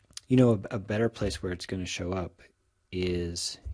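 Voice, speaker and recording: Somewhat breathy, a man speaks at a moderate pace with a fairly low pitch and ordinary pitch variation. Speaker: statistics professor. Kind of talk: recorded lecture tutorial. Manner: casual with fillers and restarts.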